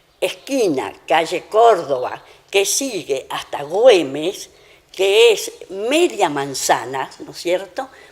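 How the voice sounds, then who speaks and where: At a very slow pace, a woman with a medium pitch speaks with very wide pitch swings and big swings in loudness. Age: 80s+. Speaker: elderly local resident sharing family history. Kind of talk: interview, personal recollection. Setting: at her home. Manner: conversational, with hesitations.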